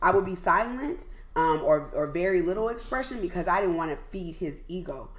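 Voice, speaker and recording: A woman with an American accent talks in a plain, everyday voice, medium in pitch, with lively intonation at a fairly quick pace. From US West Coast, Oakland. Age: 40s. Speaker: podcast host. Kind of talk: casual chat.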